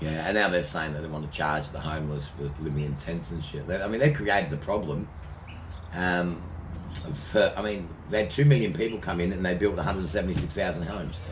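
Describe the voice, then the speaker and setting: With a strong Australian accent, a man speaks very fast in a very deep, low, somewhat breathy voice with ordinary pitch variation and audible room echo. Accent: broad Australian. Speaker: vlogger. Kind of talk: casual chat. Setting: outdoors.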